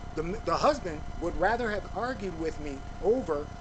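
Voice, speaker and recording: A man at a high pitch and moderate pace, with audible room echo and noticeable background noise. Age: 50s. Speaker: YouTube commentator. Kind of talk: casual monologue.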